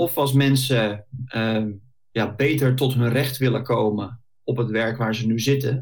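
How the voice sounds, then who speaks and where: A man talks in a somewhat breathy, medium-pitched voice with fairly even intonation. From Netherlands, Bollenstreek (South Holland). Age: 40s. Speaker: career coach. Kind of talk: podcast interview.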